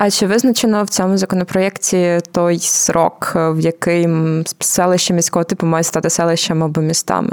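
A woman's fairly low voice at very even loudness, amid noticeable background noise. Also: fairly even intonation, moderate pace. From Ukraine, Zhytomyr. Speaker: podcast host. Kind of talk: casual explanatory chat.

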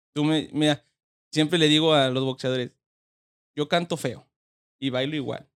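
Long, frequent pauses break up a man's speech at a moderate pace. His fairly high voice stays monotone, with flat intonation. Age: 20s. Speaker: boxing trainer. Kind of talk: interview.

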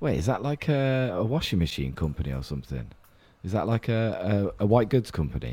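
Speaking at a fairly quick pace, a man with a British accent has a fairly low, dark, mellow tone and very wide pitch swings. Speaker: investing podcast host. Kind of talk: casual chat.

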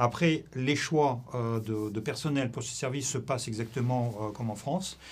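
A man speaks with a Russian accent at a medium pitch. His pitch variation is ordinary. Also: fairly slow pace. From Russia (Soviet Union). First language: Russian (speaking French). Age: 60s. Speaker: former intelligence officer. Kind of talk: interview. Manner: halting.

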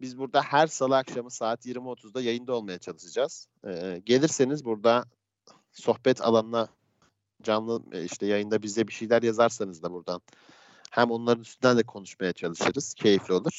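Ordinary pitch variation in a man's voice at a medium pitch. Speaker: podcast host. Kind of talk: casual chat. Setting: live stream from home. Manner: fast, energetic radio-style opening. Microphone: headphones, self-described poor sound.

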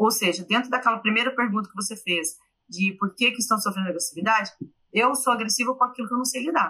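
Her pitch moves up and down in a typical way. This woman's voice sits fairly high. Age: 40s. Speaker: journalist and university professor. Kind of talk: interview. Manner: halting.

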